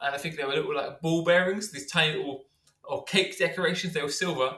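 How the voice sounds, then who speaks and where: A man with a London accent speaks at a very fast pace. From North London, England. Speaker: science teacher and rapper. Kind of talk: casual interview.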